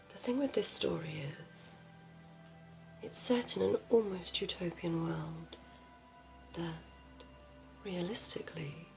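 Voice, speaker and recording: A woman speaks at a fairly slow pace with music in the background. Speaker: ASMR creator doing a librarian roleplay. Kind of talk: ASMR roleplay, librarian talking to the listener about books. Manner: whispered, soft, slow.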